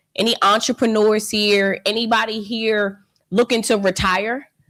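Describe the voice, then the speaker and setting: A woman talks in an animated tone with a Philadelphia accent. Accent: Philadelphia American English. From Philadelphia, US. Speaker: financial educator. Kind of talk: live online training webinar. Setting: livestream.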